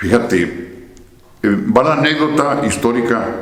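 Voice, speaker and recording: Fairly slow male speech amid noticeable background noise and audible room echo. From Mexico, Santa Bárbara. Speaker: philosopher, former seminarian. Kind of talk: interview conversation.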